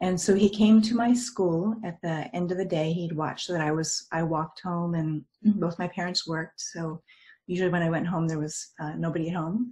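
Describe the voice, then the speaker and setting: A woman speaks in a dark, mellow, somewhat breathy voice with fairly low pitch. She has an American accent. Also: ordinary pitch variation, moderate pace. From United States. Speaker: near-death experience speaker. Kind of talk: talk to a group. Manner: halting.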